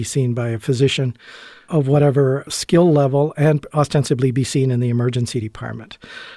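A man speaks at a fairly quick pace in a dark, mellow, somewhat breathy voice with fairly even intonation. The sound is dry and close, with no echo. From Canada. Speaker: emergency physician. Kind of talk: interview. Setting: studio.

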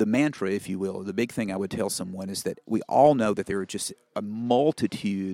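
A man with a Southern US accent, fairly low-pitched with ordinary pitch variation, at a moderate pace in a dry, close sound with no echo. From Mississippi Delta, US South. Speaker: family physician and medical association president. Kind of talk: interview conversation. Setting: conference interview. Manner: conversational with fillers, anecdotal.

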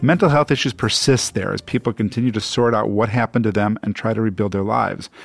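A man at medium pitch, at a very fast pace with hardly any pauses, dry and close with no echo, music in the background. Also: ordinary pitch variation. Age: 60s. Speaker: radio host and physician. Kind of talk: radio talk show.

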